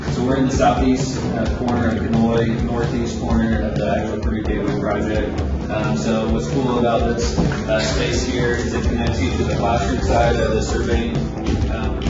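Music plays clearly in the background, with audible echo in the room. The speech moves at a moderate pace. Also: man. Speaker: faculty tour guide. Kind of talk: guided tour explanation. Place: hall.

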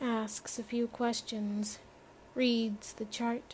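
In this clip, someone reads in an unforced voice.

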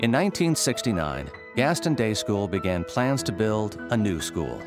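A man with a fairly low pitch speaks at a moderate pace. Clear music plays in the background, and the sound is dry, with no echo. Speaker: voice actor. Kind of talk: corporate narration. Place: studio.

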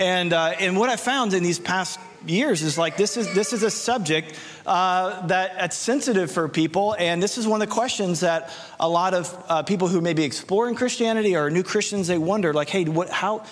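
A man speaks in a high pitch. His pace is moderate, with ordinary pitch variation. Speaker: preacher. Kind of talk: sermon. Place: stage. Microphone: handheld.

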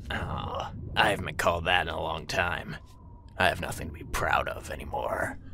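Using a put-on character voice, a raspy man speaks at a moderate pace against clear background noise. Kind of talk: comic parody of stealth game dialogue. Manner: deadpan, dry, mildly sarcastic.

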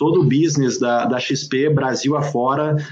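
A man's voice with ordinary pitch variation. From southern Brazil, Serra Gaúcha (Rio Grande do Sul). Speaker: entrepreneur and author. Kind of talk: interview. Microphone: earbuds.

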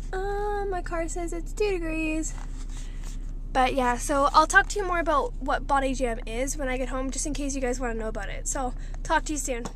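A woman talks at a moderate pace with an extremely high pitch and very wide pitch swings. The sound is dry with no echo, over light background noise. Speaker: vlogger. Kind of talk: casual vlog chat. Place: car. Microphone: phone near.

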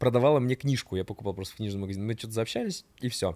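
Against a quiet background, a man speaks in a dark, mellow tone with ordinary pitch variation. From Rubtsovsk, Altai Krai, Russia; Altai Krai, Russia. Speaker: podcast guest, storyteller. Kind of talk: casual storytelling chat. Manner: animated. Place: studio. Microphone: studio mic.

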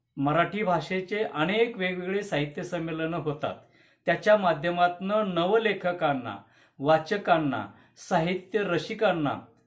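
Speaking with ordinary pitch variation, a man uses a high-pitched voice. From Karnataka border region, Bidar district (Marathi-speaking village). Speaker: poet and literary activist. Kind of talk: prepared video statement.

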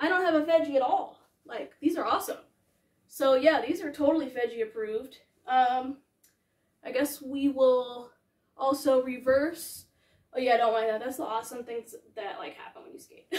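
The speaker has an American accent and a moderate pace, with ordinary pitch variation and big swings in loudness. Long, frequent pauses break up the speech, and there's audible room echo over a quiet background. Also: woman, high pitch for a woman. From New York City. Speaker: fashion and skate YouTuber; skate YouTuber. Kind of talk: casual vlog haul. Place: home room. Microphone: camera far.

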